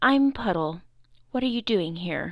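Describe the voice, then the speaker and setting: Using a put-on character voice, a woman speaks in a medium pitch. Her pace is moderate. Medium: read story.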